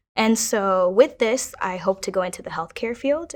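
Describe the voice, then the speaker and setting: With ordinary variation in her pitch, a woman is talking. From Kenya, raised in Minnesota from age 8. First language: Kiswahili. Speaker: university student. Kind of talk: personal testimony interview.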